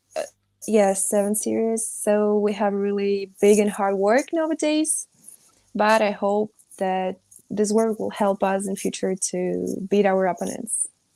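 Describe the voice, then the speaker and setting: This woman has a Russian accent and a dark, mellow tone at a medium pitch with ordinary pitch variation. She speaks at a fairly slow pace on a very clean recording with a silent background. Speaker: rugby player. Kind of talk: panel discussion. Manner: halting, searching for English words.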